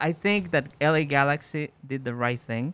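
In an unremarkable speaking voice, a man talks at a fairly slow pace and fairly high pitch, with ordinary pitch variation. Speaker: podcast co-host. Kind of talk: casual chat.

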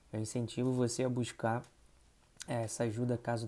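A man's dark, mellow voice at medium pitch, monotone, flat intonation and moderate pace, on a very clean recording with a silent background. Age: 20s. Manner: informal, conversational.

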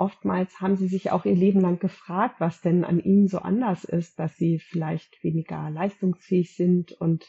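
At a moderate pace, a woman speaks with medium pitch, fairly even intonation and a somewhat breathy quality. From Germany, Gütersloh area. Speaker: eczema counselor and high-sensitivity expert. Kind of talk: interview.

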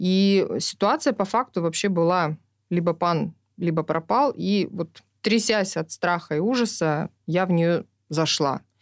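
A woman speaks at a very slow pace in a fairly low pitch, with ordinary pitch variation and very even loudness. The recording is very clean with a silent background, and the sound is dry and close with no echo. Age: 40s. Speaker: social entrepreneur, kindergarten network director. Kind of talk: documentary interview.

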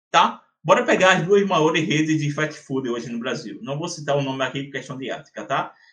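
A man speaks at a fairly high pitch. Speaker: geomarketing consultant and entrepreneur. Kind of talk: interview. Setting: podcast. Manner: animated.

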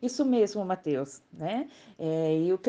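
The tone of this woman's voice is dark and mellow. Nothing stirs behind her. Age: 50s. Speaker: podcast co-host, mother. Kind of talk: scripted health explainer.

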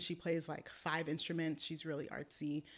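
This woman has an American accent. Her pitch is fairly low. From US West Coast, Oakland, California. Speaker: speech language pathologist. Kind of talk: interview.

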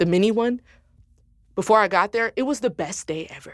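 With an American accent, a woman at a medium pitch sounds animated, her intonation lively, on a very clean recording with a silent background. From Detroit, Michigan, US. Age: 20s. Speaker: singer-songwriter and producer. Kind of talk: casual chat.

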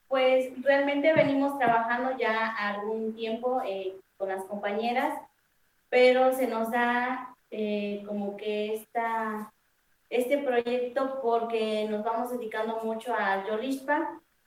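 Very slowly, a woman speaks in a fairly high pitch with fairly even intonation. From Mexico, Puebla. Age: young. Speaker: wine producer. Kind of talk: interview.

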